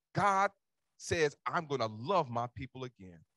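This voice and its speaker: In an American accent, the speaker talks at a fairly slow pace with an animated, bright, sharp tone and very wide pitch swings, the sound dry with no echo against a quiet background. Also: man. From Cincinnati, Ohio. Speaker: pastor. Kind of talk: sermon delivered to a live congregation, with call-and-response. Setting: church with congregation. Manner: animated, exhortatory preaching, rallying the congregation to answer; conversational, informal asides with repetition. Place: church. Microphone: handheld.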